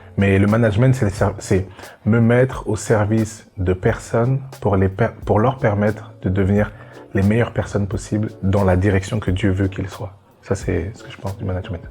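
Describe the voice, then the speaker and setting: Music plays behind a man speaking at a moderate pace. His pitch is fairly low. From Belgium. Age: 20s. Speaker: young entrepreneur. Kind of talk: testimony. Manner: halting.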